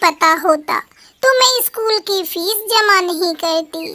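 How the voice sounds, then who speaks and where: Using a put-on character voice, a woman speaks at an extremely high pitch. Her pace is very slow. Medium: read story.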